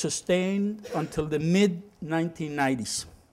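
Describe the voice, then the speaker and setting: A man with a Spanish accent speaks at a high pitch with ordinary pitch variation. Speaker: former oil company executive, energy expert. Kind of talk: lecture. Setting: university lecture room with audience.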